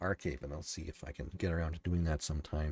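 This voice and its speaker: Very deep and low in pitch, a somewhat breathy man talks at a very fast pace in a dry, close sound with no echo, on a very clean recording with a silent background. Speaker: podcast host and novelist. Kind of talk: solo livestream commentary. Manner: halting, many fillers and restarts; calm, soothing.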